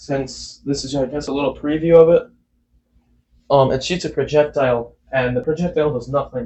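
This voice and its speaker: A man's somewhat breathy, fairly high-pitched voice at a moderate pace, with fairly even intonation. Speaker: YouTuber, game mod developer. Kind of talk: casual Q&A vlog. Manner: halting, self-correcting.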